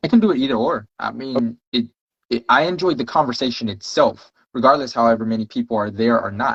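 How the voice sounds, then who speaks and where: A man's medium-pitched voice with an American accent, an ordinary speaking voice at a fairly quick pace with ordinary pitch variation, dry, close sound with no echo. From Texas, Houston. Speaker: podcast guest. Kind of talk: casual chat.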